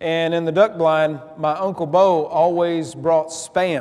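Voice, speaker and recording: A man speaks with fairly even intonation. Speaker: preacher. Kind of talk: sermon. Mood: humorous, warm. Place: church. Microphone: lapel.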